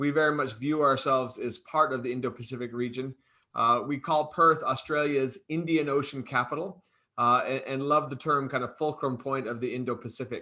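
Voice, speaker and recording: A man with an Arizona accent speaks at a fairly high pitch in a bright, sharp tone. His pace is moderate, and the background is quiet. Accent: American, Arizona. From US, Arizona. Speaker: think tank head. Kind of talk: panel discussion.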